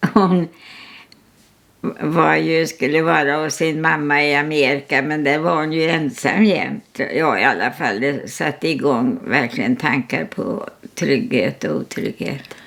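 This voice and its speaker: The speaker goes at a fairly slow pace with lively intonation. Noticeable background noise is present. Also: woman, very deep, low pitch for a woman. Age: 100s (103 years old). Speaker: artist. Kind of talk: casual chat. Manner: halting.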